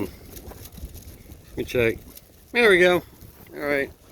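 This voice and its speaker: A mumbling man with very wide pitch swings, over noticeable background noise. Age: old. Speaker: car restoration vlogger. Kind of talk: casual DIY vlog. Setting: outdoors.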